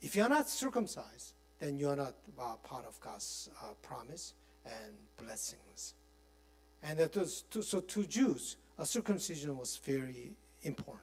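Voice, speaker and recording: This man talks at a fairly slow pace, with long, frequent pauses and big swings in loudness. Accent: Korean. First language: Korean. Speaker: pastor teaching a Bible study. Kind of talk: Bible study lecture. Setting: church. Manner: halting, with many fillers.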